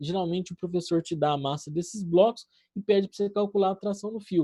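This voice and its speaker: A man speaks at a fairly quick pace with a high pitch. His tone is dark and mellow, and his pitch varies an ordinary amount. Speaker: physics teacher. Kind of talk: online class lecture. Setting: live online class. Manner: casual, conversational.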